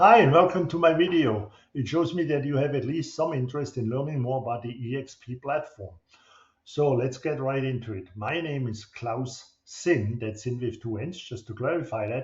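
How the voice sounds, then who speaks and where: A man with a German accent speaks at a moderate pace. His pitch is medium, with ordinary variation. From Germany. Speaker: real estate broker. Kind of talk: promotional video monologue. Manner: halting.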